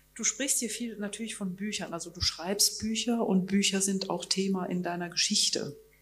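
Noticeable background noise fills the clip. The speech moves at a moderate pace with hardly any pauses. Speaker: festival moderator. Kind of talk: onstage interview. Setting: stage with audience. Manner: halting.

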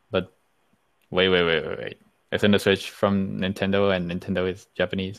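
In a very deep, low pitch, a man speaks at a moderate pace with a monotone, flat intonation. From Colombia. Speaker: podcast guest. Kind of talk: casual chat.

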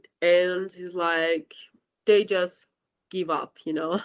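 A woman in a Persian accent speaks at a fairly slow pace with a medium pitch, recorded with a dry, close sound and no echo. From Iran. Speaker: university student. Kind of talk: interview.

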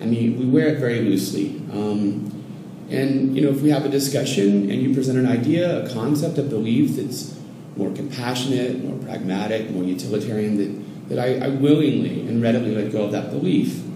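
A man with a medium-pitched voice and ordinary pitch variation speaks amid noticeable background noise and audible room echo. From US cities, later Oregon. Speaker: Zen Buddhism student. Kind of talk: casual interview conversation. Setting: in person, Mexico City. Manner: halting, many repetitions and fillers.

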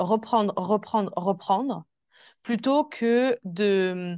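Slowly, at a very slow pace, a woman speaks at a fairly high pitch with ordinary pitch variation, the sound dry and close with no echo against a quiet background. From Switzerland. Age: 20s. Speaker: holistic coach. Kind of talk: interview. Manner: soft-spoken.

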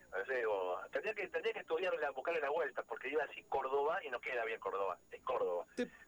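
The sound is dry and close, with no echo. A man races along at a very fast pace with hardly any pauses. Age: 40s. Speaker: folk musician and music producer. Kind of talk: radio interview.

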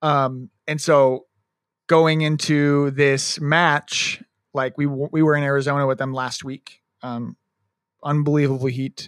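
In a very clean recording with a silent background, a man speaks at a fairly high pitch. His intonation is monotone and flat, and the sound is dry and close with no echo. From US Midwest. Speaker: sports podcast co-host. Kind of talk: casual chat. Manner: loud.

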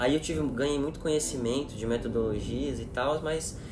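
A man talks at a fairly high pitch. Audible room echo and noticeable background noise are present. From São Paulo region, Cotia. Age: 20s. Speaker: corporate sustainability specialist. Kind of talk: casual chat.

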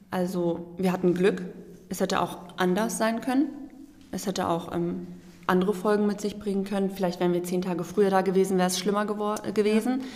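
With noticeable background noise and audible room echo, a woman speaks at a fairly quick pace. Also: medium pitch for a woman, fairly even intonation. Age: 20s. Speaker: volunteer aid worker. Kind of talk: podcast interview.

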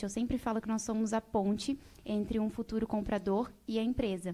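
A woman with a dark, mellow tone speaks at a fairly high pitch and a moderate pace. The recording is very clean, with a silent background. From Brazil, Mato Grosso (Rondonópolis). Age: 20s. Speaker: beauty pageant winner and social media influencer. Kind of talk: casual interview chat.

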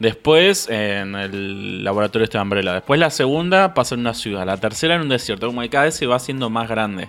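Over music in the background, a man with a Rioplatense accent talks at a very fast pace and medium pitch, with lively intonation and hardly any pauses. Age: 20s. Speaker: podcast co-host. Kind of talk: casual chat.

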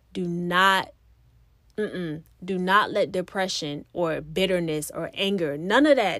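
A woman speaks at a medium pitch on a very clean recording with a silent background. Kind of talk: fervent prayer. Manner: earnest, pleading, rhythmic, repeating 'Lord God' and 'God' between phrases; impassioned, building intensity as she decrees and declares.

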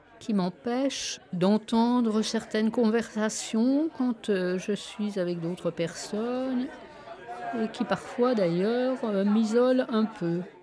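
Crowd noise fills the background as a woman speaks very slowly at a fairly high pitch with ordinary pitch variation. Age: 70s. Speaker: retiree living alone with tinnitus. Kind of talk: personal testimony. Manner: halting.

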